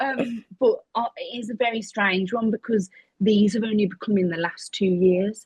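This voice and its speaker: Somewhat breathy and fairly high in pitch, a woman speaks at a moderate pace in an English accent. The sound is dry and close, with no echo. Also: ordinary pitch variation. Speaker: podcast guest living with chronic illness. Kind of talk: interview. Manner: occasional tics and stammer.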